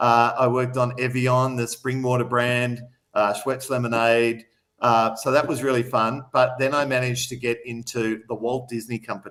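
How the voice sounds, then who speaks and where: A man with an Australian accent at a moderate pace, in a monotone, flat intonation. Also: medium pitch for a man. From Australia, Melbourne outer suburbs (Mulgrave). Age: 50s. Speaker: city councillor and business owner. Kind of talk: live radio interview. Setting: radio studio.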